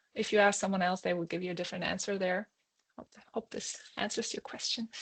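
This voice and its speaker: At a very fast pace, a woman with a non-native accent speaks at medium pitch with fairly even intonation, in a dry, close sound with no echo. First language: not English. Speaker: airline pilot. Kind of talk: webinar Q&A. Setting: online webinar. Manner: halting, many fillers.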